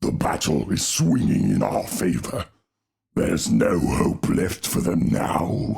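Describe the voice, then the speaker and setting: In a put-on character voice, a man speaks very deep and low, raspy and dramatic, at a fairly slow pace. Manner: dramatic, booming.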